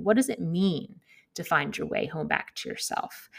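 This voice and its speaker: A woman's voice with vocal fry. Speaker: podcast host. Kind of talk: casual interview chat. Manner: warm, friendly.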